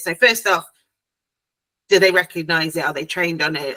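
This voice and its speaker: A woman's fairly low-pitched voice carries a bright, sharp tone. She talks at a fairly quick pace, and the sound is dry and close with no echo. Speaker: family court support platform founder. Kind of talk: interview questions to a guest. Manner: conversational, hesitant.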